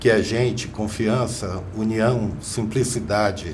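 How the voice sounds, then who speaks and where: A medium-pitched male voice amid noticeable background noise and audible room echo. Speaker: business executive. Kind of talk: podcast interview.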